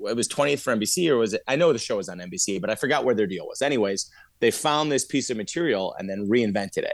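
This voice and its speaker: An unremarkable speaking voice from a man, medium in pitch and fairly quick in pace, on a very clean recording with a silent background. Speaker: actor. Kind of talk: casual chat.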